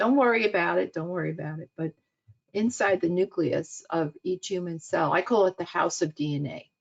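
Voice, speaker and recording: In a New York accent, a woman talks at a moderate pace with vocal fry and very wide pitch swings. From US Northeast (Queens, New York City). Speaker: cancer researcher and professor. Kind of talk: webinar lecture. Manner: halting, many fillers.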